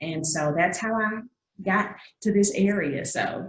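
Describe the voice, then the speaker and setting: With a Southern accent, a woman speaks using ordinary pitch variation. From Georgia, US South (Augusta). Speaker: singer-songwriter. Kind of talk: interview.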